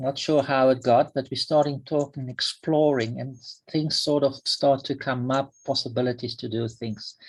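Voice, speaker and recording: A man speaks at medium pitch and moderate pace, with fairly even intonation and a somewhat breathy quality. The recording is very clean, with a silent background. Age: 60s. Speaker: workshop participant. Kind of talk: casual chat. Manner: halting.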